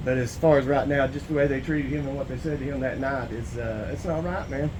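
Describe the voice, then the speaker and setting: Very fast speech in a Southern US accent with fairly even intonation, over noticeable background noise and audible room echo. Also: man, fairly high pitch for a man. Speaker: citizen auditor filing a complaint. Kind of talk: in-person conversation filing a complaint.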